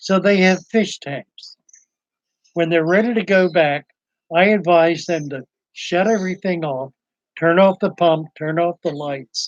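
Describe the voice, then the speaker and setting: A man with an American accent, high in pitch, at a fairly slow pace with long, frequent pauses. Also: ordinary pitch variation. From Eastern Shore of Maryland. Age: 70s. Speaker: aquarium shop owner, live streamer. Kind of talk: casual live stream chat. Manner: casual, hesitant.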